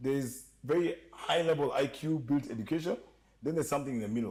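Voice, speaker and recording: At a very fast pace, a man talks in a fairly high pitch, somewhat breathy, with ordinary pitch variation. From Kenya. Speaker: entertainment industry guest. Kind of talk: casual podcast chat. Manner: animated.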